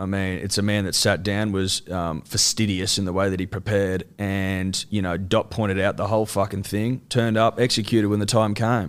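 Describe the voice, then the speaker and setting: A man with an Australian accent, a fairly low pitch and fairly even intonation, at a fairly quick pace with hardly any pauses. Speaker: sports podcaster. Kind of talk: casual chat.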